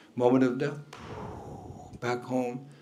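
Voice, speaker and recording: A man speaks at a moderate pace and a medium pitch, with audible echo in the room. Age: 70s. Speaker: spiritual teacher. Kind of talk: lecture.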